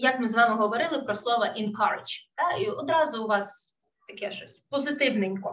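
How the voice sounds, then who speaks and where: A woman with a Russian accent talks at a moderate pace, her fairly high pitch moving in lively intonation. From Ukraine, Kherson; Ukraine. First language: Russian (speaking Ukrainian). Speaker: English teacher. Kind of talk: webinar lecture. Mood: warm, encouraging. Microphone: webcam.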